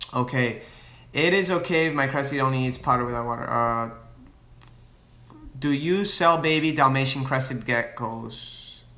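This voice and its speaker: Speech from a man at a moderate pace, with ordinary pitch variation, long, frequent pauses and audible room echo. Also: medium pitch for a man. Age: 20s. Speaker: reptile breeder and YouTuber. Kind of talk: live Q&A with viewers. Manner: casual, hesitant with fillers and restarts.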